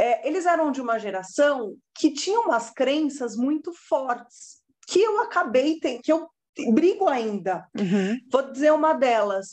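High-pitched speech from a woman with very wide pitch swings, at a fairly slow pace over a quiet background. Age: 30s. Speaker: lawyer turned social media content creator. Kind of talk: casual interview chat.

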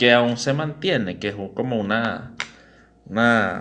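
Echo from the room can be heard. Within it, a man talks fairly slowly. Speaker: podcast host. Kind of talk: casual chat.

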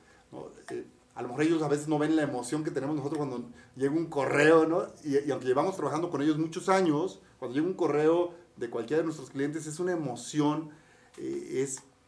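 This man's voice sits fairly high and moves at a fairly quick pace. Background noise is noticeable. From Mexico, Campeche. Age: 50s. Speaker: podcast co-host, entrepreneur. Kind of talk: casual chat. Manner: animated.

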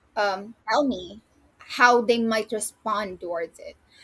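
A woman at a fairly high pitch and a very slow pace, with ordinary pitch variation. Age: 20s. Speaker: magazine writer. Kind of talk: casual interview.

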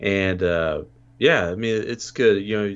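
Pitched fairly low, a man with an unremarkable speaking voice talks at a moderate pace. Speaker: returning podcast guest, horror movie fan. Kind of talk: casual chat.

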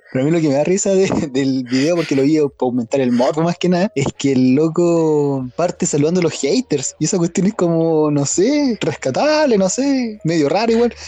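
In a normal speaking voice, a man talks at a moderate pace with hardly any pauses, a fairly high pitch, lively intonation and very even loudness, in a dry, close sound with no echo. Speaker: podcast co-host. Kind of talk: casual chat.

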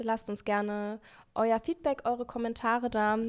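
A woman with a fairly high pitch on a very clean recording with a silent background. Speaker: podcast co-host and singer. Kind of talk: casual chat. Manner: cheerful.

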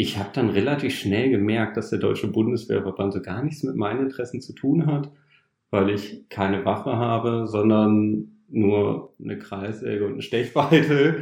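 Talking at a moderate pace, a man with a medium pitch shows vocal fry and ordinary pitch variation. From northern Germany, Osnabrück. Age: 30s. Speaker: trainee retail clerk, former carpenter. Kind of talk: interview, personal story.

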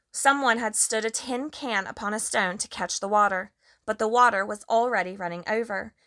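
It's plain reading aloud with ordinary pitch variation over a quiet background.

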